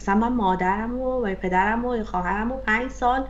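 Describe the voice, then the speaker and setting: Audible room echo surrounds a woman speaking with a fairly high pitch. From Iran. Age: 30s. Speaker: software engineer and career coach. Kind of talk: interview.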